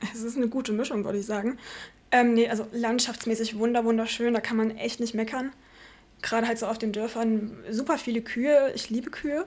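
At a fairly quick pace, a woman talks in a normal speaking voice with fairly even intonation. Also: fairly high pitch for a woman. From Vogtland, Saxony, Germany. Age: 20s. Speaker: speech therapy trainee. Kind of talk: casual chat.

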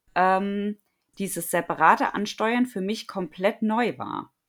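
The recording is very clean, with a silent background. A woman speaks at a very slow pace in a bright, sharp tone. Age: 30s. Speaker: running and fitness coach. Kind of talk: interview.

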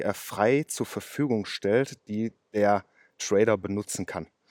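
Recorded very cleanly with a silent background and a dry, close sound with no echo, a man with a fairly low pitch speaks at a fairly slow pace with fairly even intonation. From western Germany, Ruhr area (Oberhausen). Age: 30s. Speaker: car mechanic and day trader. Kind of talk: casual interview. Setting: outdoors.

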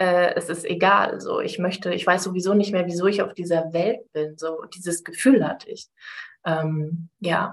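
Her pitch sits at a medium level for a woman. She speaks at a moderate pace with fairly even intonation. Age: 30s. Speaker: life coach. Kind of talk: casual interview.

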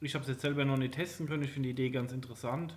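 With audible room echo around him, a man speaks at a medium pitch. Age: late 20s. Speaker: podcast co-host, gamer. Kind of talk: casual chat.

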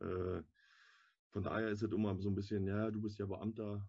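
A man speaks with a fairly low pitch, a dark, mellow tone and a somewhat breathy sound. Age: 30s. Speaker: firefighter. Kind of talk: casual interview.

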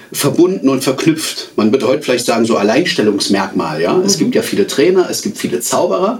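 Noticeable background noise sits behind a man's voice. His pitch swings very widely at a fairly quick pace. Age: 40s. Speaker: magician and communication trainer. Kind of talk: interview; magic trick performance.

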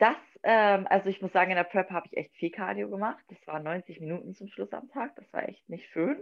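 Speaking at a fairly quick pace, a woman with vocal fry holds a medium pitch and ordinary pitch variation. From northern Germany, Wolfsburg, Lower Saxony. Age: 20s. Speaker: figure bodybuilding athlete. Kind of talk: casual chat.

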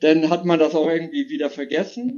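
A man's unremarkable speaking voice at a fairly high pitch. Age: 50s. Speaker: caller. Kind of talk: testimony.

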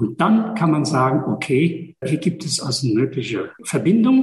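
With vocal fry and very wide pitch swings, a man speaks fairly slowly in a fairly high voice. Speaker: energy work practitioner. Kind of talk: podcast interview.

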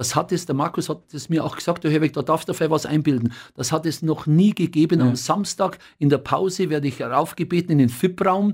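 A man with a Bavarian accent, fairly high in pitch, at a fairly quick pace, on a very clean recording with a silent background. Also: ordinary pitch variation. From Upper Bavaria, Rosenheim area. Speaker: football commentator and newspaper editor. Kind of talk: casual interview chat.

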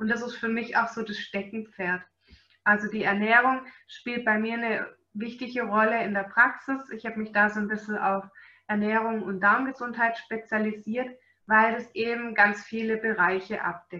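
A woman with a slight Swabian accent, at a moderate pace, in monotone, flat intonation. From Swabia, Germany. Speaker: animal nutrition webinar presenter. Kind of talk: webinar lecture.

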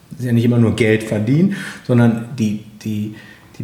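Medium in pitch, a man talks at a moderate pace. Noticeable background noise and audible room echo fill the recording. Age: 40s. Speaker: nursing teacher. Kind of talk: interview. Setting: on location, in person.

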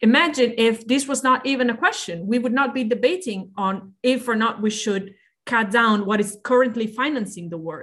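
A woman's fairly high voice in an Italian accent, at a moderate pace with hardly any pauses and ordinary pitch variation. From Italy. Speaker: politician, party co-president. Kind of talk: podcast interview. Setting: video call.

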